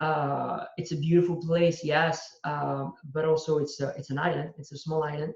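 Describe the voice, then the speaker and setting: A man with a French accent, fairly high pitch, monotone, flat intonation and a moderate pace. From southern France (Marseille, Corsican family). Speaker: entrepreneur. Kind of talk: interview. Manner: halting, many fillers.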